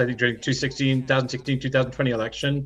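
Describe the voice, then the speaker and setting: A man speaks with an American accent. His pitch is medium and his tone bright and sharp. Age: 60s. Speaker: author and public speaker on AI. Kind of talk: casual interview chat. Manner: animated, casual with frequent restarts.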